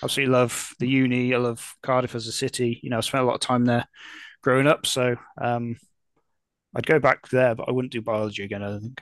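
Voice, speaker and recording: A man talks very fast at a medium pitch with monotone, flat intonation. The sound is dry and close with no echo, over a quiet background. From Telford, Shropshire, England. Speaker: rugby fan podcast co-host. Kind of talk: casual chat.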